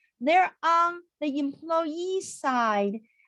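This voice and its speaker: A woman speaks with a high pitch and lively intonation. Her pace is very slow. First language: not English. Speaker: accountant. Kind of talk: webinar. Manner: animated.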